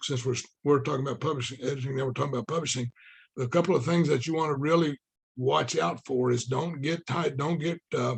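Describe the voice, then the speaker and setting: A man talks in a fairly high, somewhat breathy voice with fairly even intonation. The sound is dry and close, with no echo. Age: 60s. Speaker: author. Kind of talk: casual interview conversation.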